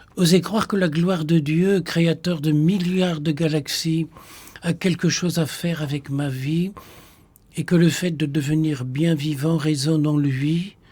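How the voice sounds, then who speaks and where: A man with a Flemish accent, his fairly high pitch carried in a dark, mellow tone, with fairly even intonation and a very slow pace. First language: Flemish (speaking French). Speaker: Benedictine monk, potter and poet. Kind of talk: radio discussion on spirituality.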